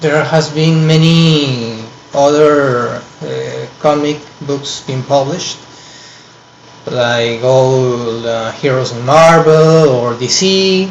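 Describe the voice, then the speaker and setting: A man with a Peruvian accent, fairly high pitch and ordinary pitch variation, at a very slow pace, with audible room echo and noticeable background noise. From Peru, Lima. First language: Spanish. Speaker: online course student. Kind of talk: personal presentation to camera. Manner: halting, many fillers.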